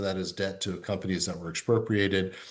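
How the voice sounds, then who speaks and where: With audible room echo, a man with a fairly low pitch talks at a very fast pace. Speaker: diplomat. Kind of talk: interview. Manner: halting.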